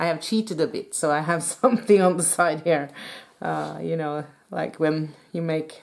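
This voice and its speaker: With a Norwegian accent, a woman speaks at a very deep, low pitch and a moderate pace. Vocal fry marks her voice, and her pitch varies in an ordinary way. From Norway. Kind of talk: tutorial. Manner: halting.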